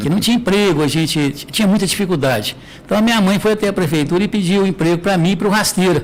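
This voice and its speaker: A man talks at a very fast pace with a high pitch. Noticeable background noise runs underneath. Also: ordinary pitch variation. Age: 60s. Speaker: mayor. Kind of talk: interview.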